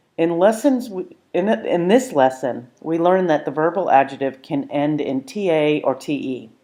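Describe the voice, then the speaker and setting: A woman's fairly low-pitched voice with a dark, mellow tone and lively intonation, over a quiet background. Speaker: Irish language teacher. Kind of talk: language lesson narration.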